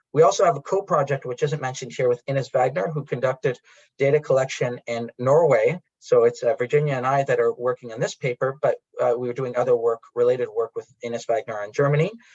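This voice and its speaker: Talking at a very fast clip, a man with a fairly high, somewhat breathy voice uses ordinary pitch variation, recorded dry and close with no echo. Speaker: academic researcher. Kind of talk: conference presentation. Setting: conference with interpreter. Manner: halting.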